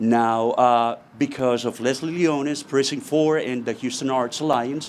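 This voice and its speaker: A man with a Colombian accent, fairly even intonation and a fairly slow pace. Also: medium pitch for a man. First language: Spanish. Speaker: muralist. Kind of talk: speech at community event.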